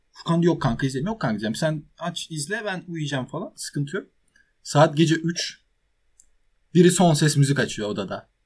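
A man speaks with ordinary pitch variation at a moderate pace in a plain, everyday voice. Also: fairly high pitch for a man. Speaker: podcast co-host, university student. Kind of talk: casual chat.

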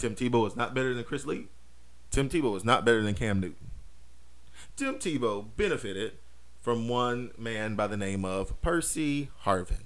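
Over audible room echo, a man with an American accent talks at a medium pitch and a moderate pace, with long, frequent pauses. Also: ordinary pitch variation. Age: 30s. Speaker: podcast host. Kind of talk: casual monologue. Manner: many fillers and repetitions.

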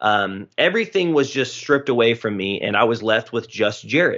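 A man with an ordinary speaking voice, medium pitch and moderate pace. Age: 20s. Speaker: pastor. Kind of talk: casual chat.

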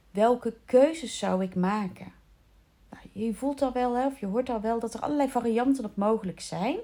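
A woman's fairly high voice keeps a moderate pace and shows ordinary pitch variation. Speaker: coach for children's coaches. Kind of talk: solo podcast monologue. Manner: halting; casual.

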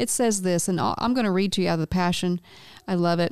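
With a plain, everyday voice, a woman talks at a fairly quick pace and a medium pitch. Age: 50s. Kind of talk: faith-based casual chat.

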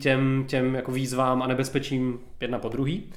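A man is speaking. Background noise is noticeable. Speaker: podcast co-host. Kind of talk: casual chat about board games.

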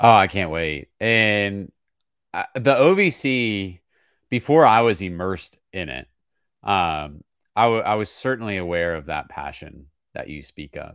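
A man with an American accent speaks in a plain, everyday voice at a fairly low pitch and a fairly slow pace, with lively intonation. His loudness swings widely on a very clean recording with a silent background. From small-town Virginia. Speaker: play-by-play sports broadcaster. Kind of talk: podcast interview.

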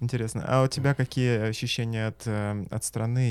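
Speaking at a fairly quick pace, a man with an ordinary speaking voice keeps a medium pitch and fairly even intonation. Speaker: host. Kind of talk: casual interview. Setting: studio.

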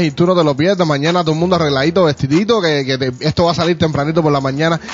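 Over noticeable background noise, a man with a fairly high pitch talks in an animated tone at a very fast pace. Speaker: podcast host. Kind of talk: casual chat.

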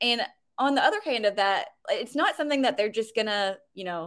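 In a plain, everyday voice, a woman talks at a fairly quick pace with fairly high pitch and ordinary pitch variation, on a very clean recording with a silent background. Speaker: web designer and business owner. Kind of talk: casual interview.

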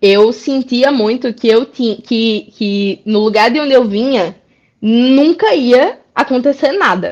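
Speaking very slowly with a Rio Grande do Norte accent, a woman uses ordinary pitch variation. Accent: northeastern Brazilian (potiguar). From Brazil, interior of Rio Grande do Norte (Currais Novos). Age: 30s. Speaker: illustrator and comics author. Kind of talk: casual interview.

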